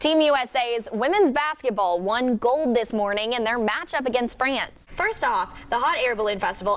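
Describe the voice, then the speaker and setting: A woman's high-pitched voice at a fairly quick pace, lively intonation, over noticeable background noise. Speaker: TV news anchor and reporter. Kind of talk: TV news anchoring.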